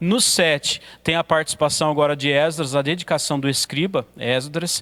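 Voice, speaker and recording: In a very clean recording with a silent background and a dry, close sound with no echo, a man has a plain, everyday voice at a fairly high pitch with ordinary pitch variation. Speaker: pastor teaching a theology course. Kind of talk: lecture. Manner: occasional stumbles and fillers.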